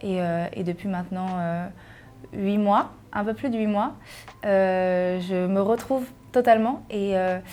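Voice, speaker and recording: A woman's medium-pitched voice at a very slow pace, with fairly even intonation, long, frequent pauses and music in the background. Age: 20s. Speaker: journalist, content creator and singer. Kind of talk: personal testimony interview. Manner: hesitant, many fillers.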